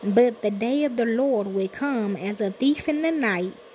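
Noticeable background noise runs under this recording. A woman talks at a fairly slow pace with a fairly high pitch. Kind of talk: sermon / scripture reading. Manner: casual, conversational, preacher-like.

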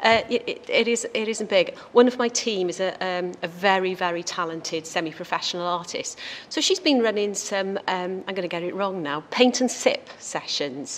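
At a moderate pace, a woman speaks with hardly any pauses and ordinary pitch variation. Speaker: health workforce director. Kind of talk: panel presentation. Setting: stage with audience. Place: meeting room. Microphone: podium.

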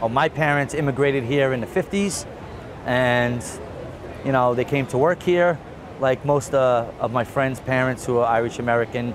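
Over noticeable background noise, a man with a New York accent talks at a moderate pace, his medium pitch showing ordinary variation and his loudness very even. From Queens, New York. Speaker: police officer. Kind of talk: interview answer.

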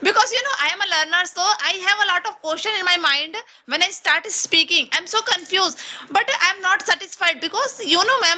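Speaking in a raised, projected voice with an Indian accent, the speaker moves at a moderate pace with a bright, sharp tone and lively intonation. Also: woman. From India (Chhattisgarh). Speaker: English learner and YouTuber. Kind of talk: casual English practice conversation. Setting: video call. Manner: halting, nervous. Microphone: video call.

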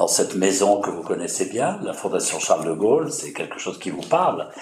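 A man is heard over light background noise. There is audible room echo. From France. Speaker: journalist interviewer. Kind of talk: interview. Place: meeting room.

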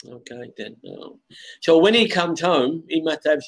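Quiet background, a man with a London accent and a fairly high pitch. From London, England. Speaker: online English tutor. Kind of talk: casual chat. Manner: slow. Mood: friendly, patient. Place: home room. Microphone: video call.

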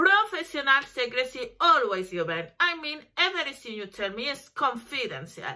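Over a quiet background, a woman with a Spanish accent speaks in a bright, sharp tone with very wide pitch swings. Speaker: lawyer; lawyer promoting her services. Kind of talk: promotional talk to camera. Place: home room. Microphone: webcam.

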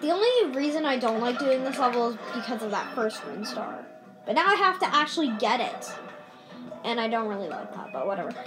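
Over clear background music, a woman speaks fairly quickly in a high voice. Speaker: gamer filming own play. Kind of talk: casual gameplay commentary. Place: home room. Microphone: phone near.

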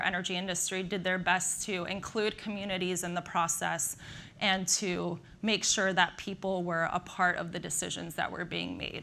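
Light background noise sits behind a woman whose tone is bright and sharp and whose intonation stays fairly even. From Slovakia, raised in the US. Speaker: nuclear energy industry professional. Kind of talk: conference talk. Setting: stage with audience. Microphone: lapel.

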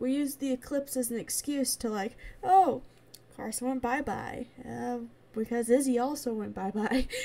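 Her pitch is high and shifts in an ordinary way. This woman talks at a moderate pace. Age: 20s. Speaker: gaming YouTuber. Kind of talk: casual vlog update. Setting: home recording, late night. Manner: rambling with many fillers.

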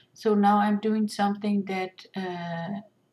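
A woman's somewhat breathy voice, monotone and flat in intonation, at a fairly slow pace. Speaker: resin artist. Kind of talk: tutorial. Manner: halting, many fillers.

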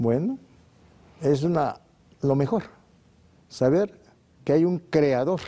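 At a very slow pace with long, frequent pauses, a man with a fairly high pitch and a dark, mellow tone keeps very even loudness and ordinary pitch variation. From Mexico. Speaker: naturopathic doctor, sanatorium founder; guest. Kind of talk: TV interview. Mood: warm, relaxed, reflective. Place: studio. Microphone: lapel.

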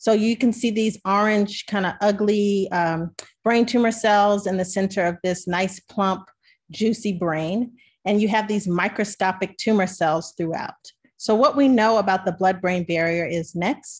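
A somewhat breathy woman with an American accent speaks fairly slowly and with fairly even intonation over a quiet background. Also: medium pitch for a woman. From Maryland, US. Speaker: physician scientist; presenter. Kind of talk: webinar presentation. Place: home room. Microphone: webcam.

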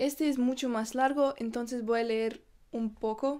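A woman's high-pitched, flat, monotone voice at a moderate pace, with a quiet background. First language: not Spanish (speaking Spanish). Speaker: YouTuber; vlogger. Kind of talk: vlog. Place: home room. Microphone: phone near.

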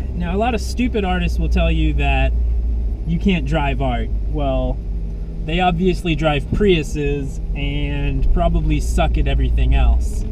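Noticeable background noise sits behind a dry sound with no echo. A man speaks with a very deep, low pitch and monotone, flat intonation. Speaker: car dealer host. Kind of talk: casual car review commentary. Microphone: camera far.

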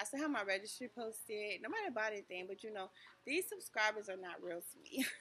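A woman speaks at a very fast pace. Her pitch is fairly high. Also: ordinary pitch variation. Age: 40s. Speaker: vlogger. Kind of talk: casual vlog talk to camera. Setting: in a store. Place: shop. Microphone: phone near.

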